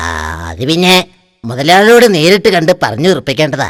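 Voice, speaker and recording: A man's cartoonish character voice, high in pitch, at a moderate pace. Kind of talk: cartoon character dialogue.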